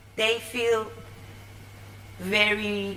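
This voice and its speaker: A woman's medium-pitched voice with fairly even intonation, audible room echo and noticeable background noise. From Iran. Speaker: confidence coach and TV producer. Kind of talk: conference talk. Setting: stage with audience. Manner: halting.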